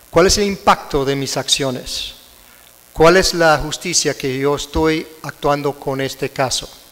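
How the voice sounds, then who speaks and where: With an American accent, a man speaks at a fairly slow pace in a fairly high pitch and fairly even intonation, over noticeable background noise. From United States. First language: English (speaking Spanish). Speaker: prosecutor and conference speaker. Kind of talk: lecture. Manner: halting.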